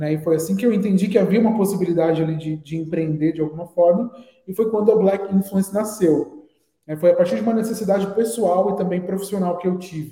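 Speaking at a very fast pace, a man with a high pitch keeps his intonation fairly even. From Brazil, Guarulhos (São Paulo area). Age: 20s. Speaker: advertising professional and agency founder. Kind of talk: interview.

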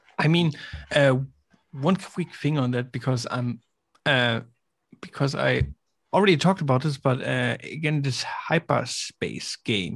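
A man's fairly high, somewhat breathy voice with ordinary pitch variation, a fairly slow pace, and long, frequent pauses. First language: not English. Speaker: gaming content creator. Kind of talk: casual chat.

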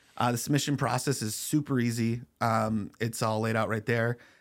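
Speaking in an American accent, a man with an unremarkable speaking voice and medium pitch goes at a fairly slow pace in a very clean recording with a silent background. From US Pacific Northwest, Spokane. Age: 30s. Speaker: comedian. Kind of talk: casual interview.

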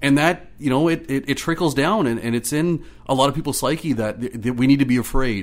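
A fairly high-pitched man with an Ontario accent, fairly quick and with hardly any pauses, his pitch varying in an ordinary way. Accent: Canadian English (Ontario). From Ottawa, Ontario, Canada. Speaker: community organizer. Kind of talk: casual interview.

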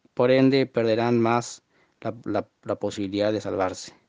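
Against a quiet background, a man talks at a moderate pace and medium pitch with fairly even intonation. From Argentina, Formosa. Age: 20s. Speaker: listener sending audio message. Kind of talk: recorded monologue testimony. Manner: halting, many fillers and repetitions.

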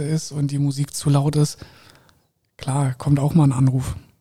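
This man has a fairly high pitch and a dark, mellow tone. He sounds somewhat breathy and speaks in a monotone, with flat intonation. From Koblenz, Rhineland, Germany. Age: 30s. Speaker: hotel general manager. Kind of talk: interview. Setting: hotel penthouse.

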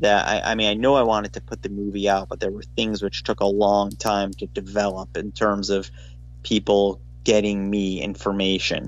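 Music plays in the background as a man speaks at a moderate pace. His fairly low voice makes very wide pitch swings. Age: 40s. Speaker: documentary director. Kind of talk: casual interview. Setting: phone call. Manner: halting, many fillers.

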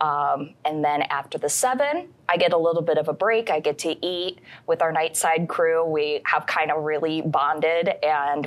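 A woman with an American accent and an ordinary speaking voice, fairly low in pitch, with ordinary pitch variation. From Michigan (Canton, downstate). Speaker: TV news anchor. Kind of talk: casual chat.

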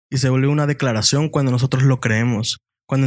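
Talking at a fairly quick pace, a man uses a medium-pitched voice. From Mexico, Puebla and Veracruz. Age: young. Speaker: university student. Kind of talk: casual chat.

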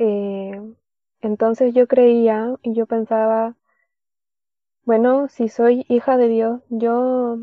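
A woman with a fairly high pitch speaks in a monotone, flat intonation. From Chile, Caldera (Atacama region). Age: 20s. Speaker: worship leader and theology student. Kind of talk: testimony.

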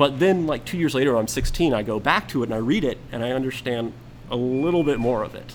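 A man talks at a very fast pace with medium pitch and ordinary pitch variation. Noticeable background noise sits behind him. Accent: American. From US South, Atlanta area. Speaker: podcast guest, co-worker of host. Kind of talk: casual chat.

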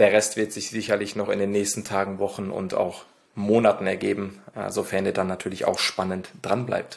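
Flat, monotone intonation runs through a man's speech. His pitch sits fairly low. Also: moderate pace. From Ruhr area, Germany (Lünen near Dortmund). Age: 20s. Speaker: podcast co-host. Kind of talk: casual podcast intro.

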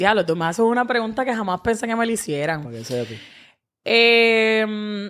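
An ordinary speaking voice with ordinary pitch variation comes through on a very clean recording with a silent background. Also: woman, fairly high pitch for a woman, moderate pace. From Dominican Republic (Santo Domingo). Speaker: social media personality. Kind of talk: casual chat.

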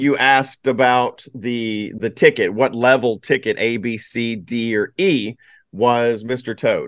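A man with a normal speaking voice, medium pitch, fairly even intonation and a fairly slow pace, in a dry, close sound with no echo and a quiet background. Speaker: podcast host. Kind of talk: casual chat.

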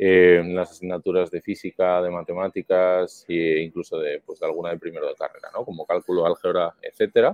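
This man keeps up a fairly quick pace. Pauses are almost absent. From Spain, Madrid. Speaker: startup founder and CEO. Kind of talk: interview.

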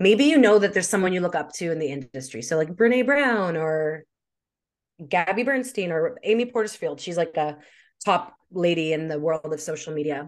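In a Canadian accent, a woman with an unremarkable speaking voice and a fairly low pitch talks at a moderate pace with lively intonation against a quiet background. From Canada, Winnipeg. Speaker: social media marketing expert. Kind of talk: interview.

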